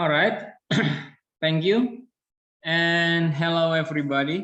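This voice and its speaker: A man with an Indonesian accent speaks at a very slow pace, his pitch high and his pitch variation ordinary. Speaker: university lecturer. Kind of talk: presentation. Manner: hesitant.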